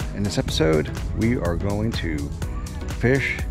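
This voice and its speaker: A man speaks in a very deep, low pitch at a fairly slow pace. The sound is dry with no echo, and music plays clearly in the background. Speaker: vlogger. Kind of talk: casual vlog chat. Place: waterside. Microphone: phone near.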